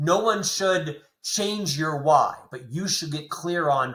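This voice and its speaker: This man's voice has a bright, sharp tone and a fairly high pitch. His pitch variation is ordinary. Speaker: author and speaker. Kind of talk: interview conversation. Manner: repetitive halting starts.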